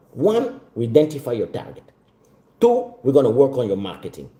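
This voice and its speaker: A man talks at a fairly quick pace in a fairly high, somewhat breathy voice with a dark, mellow tone. His pitch swings very widely. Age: 40s. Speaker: business mentor. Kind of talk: sales pitch.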